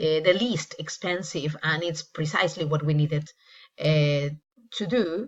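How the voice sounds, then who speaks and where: Speaking in a Spanish accent, a woman with a very deep, low pitch and a somewhat breathy voice talks at a fairly slow pace with ordinary pitch variation. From Peru. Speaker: English teacher. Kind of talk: casual travel vlog narration. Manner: hesitant with many fillers.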